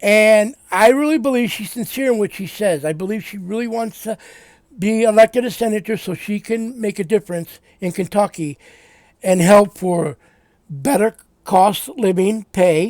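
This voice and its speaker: A loud man with a high pitch talks at a moderate pace with ordinary pitch variation, his sound dry and close with no echo. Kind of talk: casual political commentary monologue. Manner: halting, repetitive.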